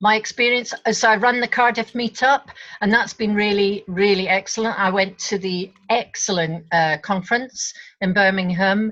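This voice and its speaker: A woman with a Scottish accent speaks at a medium pitch and moderate pace with fairly even intonation. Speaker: facilitator, board candidate. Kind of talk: online meeting self-introduction. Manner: halting.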